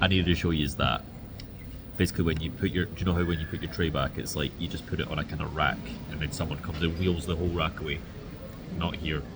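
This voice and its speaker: Against noticeable background noise, a man with a very deep, low pitch and a Scottish accent speaks at a very fast pace, with long, frequent pauses and fairly even intonation. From Scotland. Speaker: vlogger. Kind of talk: casual vlog chat. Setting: in a store.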